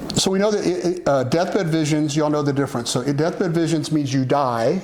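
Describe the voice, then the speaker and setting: Audible room echo and noticeable background noise surround a fairly quick delivery with ordinary pitch variation. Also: man. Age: 60s. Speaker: religious talk show host teaching about the afterlife. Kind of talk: casual teaching chat. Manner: halting, many fillers and restarts.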